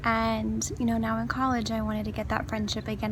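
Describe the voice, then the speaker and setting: Audible room echo surrounds a woman with an American accent and a very deep, low pitch. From El Paso, Texas. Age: 20s. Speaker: university student. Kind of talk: personal vlog introduction. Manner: chatty.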